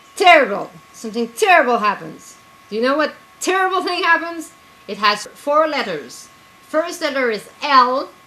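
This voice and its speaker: At a moderate pace over noticeable background noise, a woman projects a raised, high-pitched voice with very wide pitch swings. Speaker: writer and zine editor. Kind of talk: casual video blog. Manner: loud; animated.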